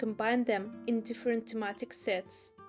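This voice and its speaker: Her intonation stays fairly even. Behind the woman's voice, music plays. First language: not English. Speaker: illustrator and small business owner. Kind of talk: casual voice-over narration.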